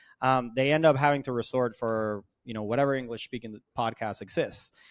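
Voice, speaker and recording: Over a very clean, silent background, a man with a Spanish accent talks at a fairly quick pace with fairly even intonation. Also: medium pitch for a man. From Puerto Rico, Mayagüez. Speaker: sales consultancy founder. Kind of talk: podcast interview. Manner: loud.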